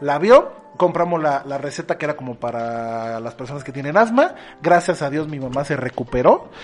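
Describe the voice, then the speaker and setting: A man with a Mexican accent talks at a moderate pace, his pitch fairly high and his loudness swinging widely. Noticeable background noise runs behind him. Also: ordinary pitch variation. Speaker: podcast host. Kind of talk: casual chat.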